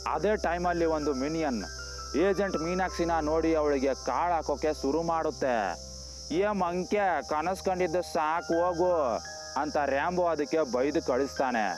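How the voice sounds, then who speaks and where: This man has a plain, everyday voice, fairly high in pitch, with ordinary pitch variation. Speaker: voiceover narrator. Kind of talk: movie plot recap narration. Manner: casual, humorous storytelling.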